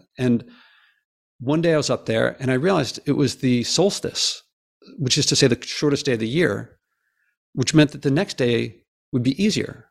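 At a moderate pace with long, frequent pauses, a man speaks at medium pitch with vocal fry and ordinary pitch variation on a very clean recording with a silent background. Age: 50s. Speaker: professor and environmental podcaster. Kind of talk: interview.

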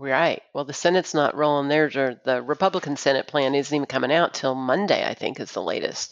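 With an American accent, a woman talks at a fairly quick pace with hardly any pauses, her pitch very deep and low. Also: ordinary pitch variation. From Austin, Texas. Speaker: financial advice line team member. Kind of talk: casual chat.

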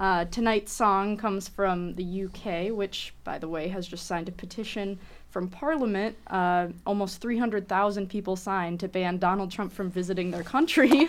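A woman speaks in a normal speaking voice. Her pitch is medium, and her pace is moderate. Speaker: radio host. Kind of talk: radio interview. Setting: studio.

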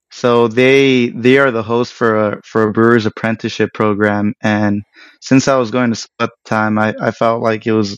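In a normal speaking voice, a man with an American accent talks at a moderate pace and a medium pitch. His intonation is fairly even, and the sound is dry and close with no echo. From Los Angeles area, Mexican American. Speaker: craft brewer. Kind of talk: casual interview.

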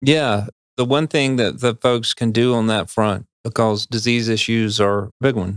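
A man speaks in a normal speaking voice at medium pitch with an American accent, talking at a fairly slow pace with very even loudness and fairly even intonation, in a dry, close sound with no echo. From North Carolina Piedmont. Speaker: fisheries biologist. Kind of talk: podcast interview.

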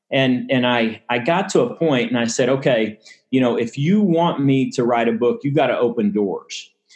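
A man's medium-pitched voice with a Texan accent, ordinary pitch variation and a moderate pace. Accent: Texan American. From Texas, Dallas suburbs. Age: 50s. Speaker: sports agent and author. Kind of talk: interview testimony.

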